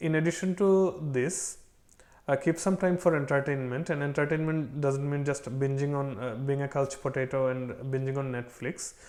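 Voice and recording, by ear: At a moderate pace, a man talks with fairly even intonation and a slightly mellow tone. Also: medium pitch for a man.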